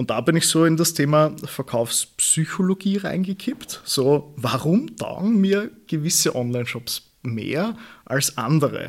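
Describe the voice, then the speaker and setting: Somewhat breathy and fairly high-pitched for a man, he speaks at a fairly slow pace with lively intonation. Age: 20s. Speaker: e-commerce consultant. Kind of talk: interview.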